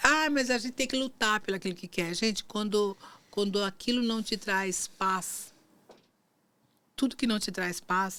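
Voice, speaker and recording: Speaking in a plain, everyday voice, a woman keeps a moderate pace and a fairly high pitch with ordinary pitch variation. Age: 60s. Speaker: marketing agency owner and former lawyer. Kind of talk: faith podcast interview.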